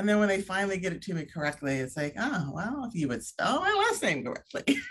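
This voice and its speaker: Over noticeable background noise, a woman talks very fast at a medium pitch with very wide pitch swings. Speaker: event planner. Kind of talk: interview.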